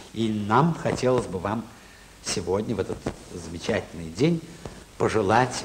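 Amid noticeable background noise, a man with a fairly low pitch speaks at a fairly slow pace with lively intonation and long, frequent pauses. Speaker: television host. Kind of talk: TV program host introduction.

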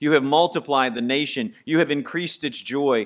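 The setting behind him is quiet. This man keeps a moderate pace, his intonation fairly even. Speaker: preacher. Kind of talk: sermon. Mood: calm, solemn. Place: church. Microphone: podium.

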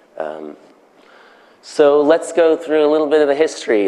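Noticeable background noise fills the recording. A man talks through it at a moderate pace. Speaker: conference speaker. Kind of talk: conference talk. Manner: halting, many fillers.

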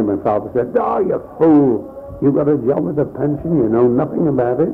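A man at a moderate pace, ordinary pitch variation, clear music in the background. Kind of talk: interview answer. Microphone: old recording.

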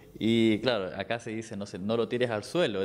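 With a Chilean accent, a man speaks at a moderate pace in a medium pitch. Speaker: dancer; interviewee. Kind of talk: interview. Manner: halting, many repetitions. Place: home room. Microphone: handheld.

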